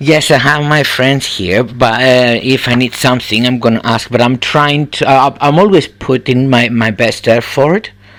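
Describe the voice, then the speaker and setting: A man with a Cypriot accent at a moderate pace, hardly any pauses. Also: medium pitch for a man, ordinary pitch variation, very even loudness. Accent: Greek Cypriot. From Cyprus. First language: Greek. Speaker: benefits claimant. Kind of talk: phone assessment interview. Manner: halting.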